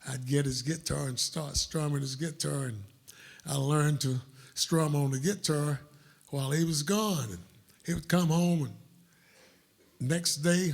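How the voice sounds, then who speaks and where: A man with a Southern US accent speaks at a fairly slow pace, somewhat breathy, with fairly high pitch and ordinary pitch variation. He leaves long, frequent pauses. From US South, upstate South Carolina. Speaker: blues musician. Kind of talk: storytelling on stage. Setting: stage with audience.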